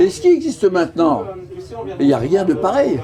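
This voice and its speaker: Noticeable background noise fills the clip. The man's voice shows ordinary pitch variation. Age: 70s. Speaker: retired sea rescue volunteer. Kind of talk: interview.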